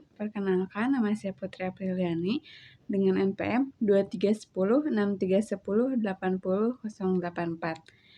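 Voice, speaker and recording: Speaking with a West Javanese accent, a woman keeps a fairly quick pace with hardly any pauses, her medium pitch showing ordinary variation. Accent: Sundanese accent in Indonesian. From Indonesia, West Java (Cianjur). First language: Sundanese (speaking Indonesian). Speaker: university student. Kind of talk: class assignment presentation.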